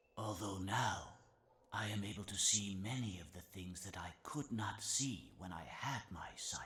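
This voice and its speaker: Put-on character voice from a man, fairly low in pitch. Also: moderate pace, ordinary pitch variation. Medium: video game. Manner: slow, measured, gentle.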